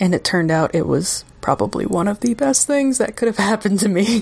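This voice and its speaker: A woman's voice with music playing in the background. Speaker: podcast host. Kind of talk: guided meditation intro then casual interview.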